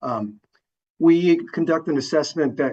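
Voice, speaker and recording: This man's voice has a dark, mellow tone. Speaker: traffic engineering consultant. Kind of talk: public meeting presentation.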